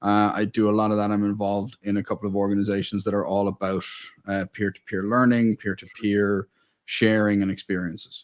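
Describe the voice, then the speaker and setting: A man's fairly low, monotone voice with flat intonation at a fairly quick pace, dry and close with no echo, on a very clean recording over a silent background. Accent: American. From Ireland, Dublin. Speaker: family business owner and mentor. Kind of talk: interview.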